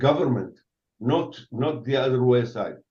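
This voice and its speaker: A man with an Arabic accent speaks in a somewhat breathy voice. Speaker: retired army general. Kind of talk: interview. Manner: halting; animated.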